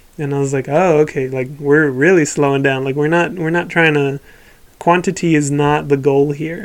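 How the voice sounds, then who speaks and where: A man's normal speaking voice, fairly high in pitch, with fairly even intonation at a moderate pace. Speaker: podcast co-host. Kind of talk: casual chat.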